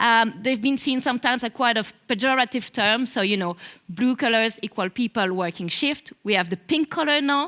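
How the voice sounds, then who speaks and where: Speaking at a fairly quick pace, a woman with a strong Belgian French accent uses lively intonation and a bright, sharp tone at a fairly high pitch. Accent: thick French-Belgian. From Belgium. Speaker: marketing manager. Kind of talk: conference talk.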